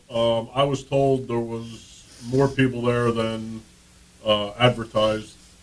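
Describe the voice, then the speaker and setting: Over noticeable background noise, a man talks at a very slow pace with a medium pitch and monotone, flat intonation. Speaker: sports reporter co-host. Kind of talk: casual chat.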